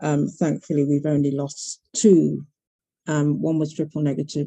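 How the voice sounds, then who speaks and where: A dark, mellow voice with vocal fry and a British accent. It moves at a moderate pace with ordinary pitch variation. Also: woman. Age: 60s. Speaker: breast cancer advocate. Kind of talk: panel talk.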